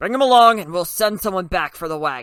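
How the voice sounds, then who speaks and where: On a very clean recording with a silent background, a man puts on a character voice with a high pitch, lively intonation and a fairly quick pace. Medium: read story. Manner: dogged, officious.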